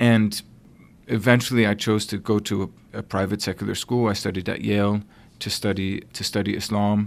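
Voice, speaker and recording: An American-accented man talks in a fairly low pitch with monotone, flat intonation. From Connecticut, US. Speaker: theology professor. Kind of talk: interview conversation.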